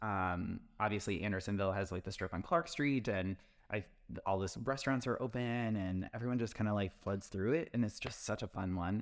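Here is a man with an ordinary speaking voice, fairly low in pitch and at a moderate pace with ordinary pitch variation. The recording is very clean, with a silent background. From Wisconsin. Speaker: real estate agent. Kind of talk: casual podcast chat about real estate.

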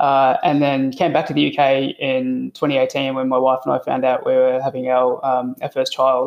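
The speaker has an Australian accent and talks at a moderate pace. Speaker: IT consultant. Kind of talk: podcast interview.

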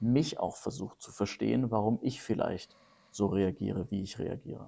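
Speaking at a moderate pace, a man has a dark, mellow tone with vocal fry. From Lower Franconia, Germany (Karlstadt near Würzburg). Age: 30s. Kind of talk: casual podcast conversation.

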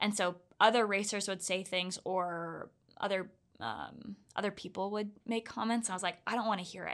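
At a moderate pace, a woman with an American accent talks at a medium pitch over a quiet background. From US South, Orlando, Florida. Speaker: ultra runner. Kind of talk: casual interview. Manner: animated, laughs often.

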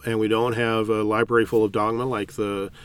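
This man has an American accent. He talks fairly quickly. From California. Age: 60s. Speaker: priest. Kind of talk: interview.

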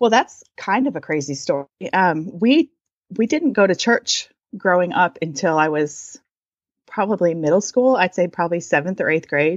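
With an American accent, a woman talks at a moderate pace in an unremarkable speaking voice. Her medium-pitched delivery has lively intonation. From US, Michigan and Southern California. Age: 40s. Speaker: artist and writer. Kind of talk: casual chat.

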